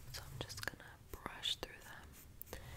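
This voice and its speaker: Soft-spoken and whispering, a woman delivers her words. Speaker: beauty vlogger. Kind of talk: casual vlog chat. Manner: soft close ASMR whisper. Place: home room. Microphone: earbuds.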